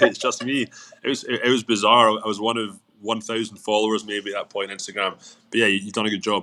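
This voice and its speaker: A man with a Scottish accent talks at a very fast pace, his pitch varying in an ordinary way. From Scotland, Glasgow. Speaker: business owner. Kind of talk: interview. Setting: live stream. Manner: repeats words, halting.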